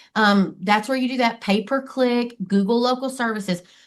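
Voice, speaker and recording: Against a quiet background, a woman with an American accent speaks in an animated tone with ordinary pitch variation. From Texas. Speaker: marketing expert. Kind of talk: podcast interview.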